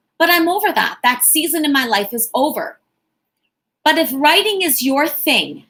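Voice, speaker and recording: Loud and animated, a woman speaks with a high pitch, lively intonation, and a bright, sharp tone. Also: moderate pace. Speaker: motivational speaker and entrepreneur. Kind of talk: live-stream talk. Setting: live stream on YouTube and Facebook.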